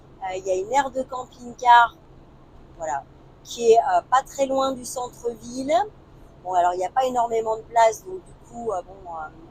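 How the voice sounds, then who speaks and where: A woman speaks at a fairly slow pace in a fairly high pitch, with noticeable background noise behind her. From northern France, Lille. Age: 50s. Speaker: travel vlogger. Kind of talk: casual chat. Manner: hesitant, many fillers.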